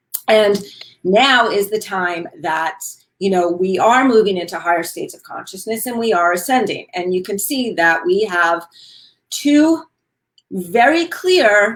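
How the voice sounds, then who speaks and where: A woman with a New York accent speaks at medium pitch and a fairly slow pace. Her intonation is lively, and her loudness swings widely. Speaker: wellness talk show host. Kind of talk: casual chat.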